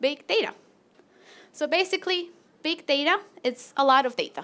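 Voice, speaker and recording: Lively intonation and a moderate pace mark this woman's high-pitched voice. She speaks with a Latin American accent. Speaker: PhD researcher. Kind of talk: presentation.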